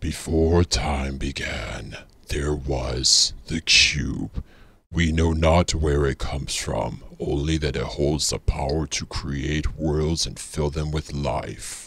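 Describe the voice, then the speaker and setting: A put-on character voice at a very slow pace. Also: man, very deep, low pitch for a man. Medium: tutorial demo. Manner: slow, solemn.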